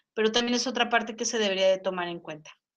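Her pitch fairly high and her intonation fairly even, a woman speaks in an ordinary speaking voice. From Mexico. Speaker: psychologist and English teacher. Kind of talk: panel discussion.

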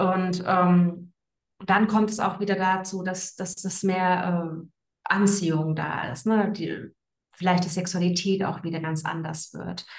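A woman's medium-pitched, somewhat breathy voice, flat and monotone, at a very slow pace. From Frankfurt am Main, Germany. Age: 30s. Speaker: women's coach. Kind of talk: interview. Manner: hesitant, many fillers.

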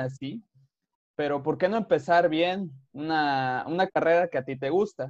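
In a dry, close sound with no echo, a man talks at a very slow pace with ordinary pitch variation. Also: quiet background. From Veracruz, Mexico. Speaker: podcast host, engineer. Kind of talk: casual interview.

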